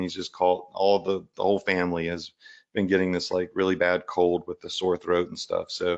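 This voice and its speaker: Words come fairly quickly in monotone, flat intonation. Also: man. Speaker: e-commerce coach, live show host. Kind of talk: live stream teaching. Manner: loud; casual, filler-heavy.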